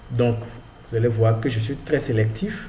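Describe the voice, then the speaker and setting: In a room with audible echo, a man speaks at medium pitch with ordinary pitch variation. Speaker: freelancing tutorial youtuber. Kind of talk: screen-share tutorial. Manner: casual, hesitant with fillers.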